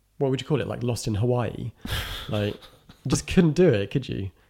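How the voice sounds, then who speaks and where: A man's voice has a dark, mellow tone. Vocal fry runs through it. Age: 30s. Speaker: film critic. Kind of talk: casual chat.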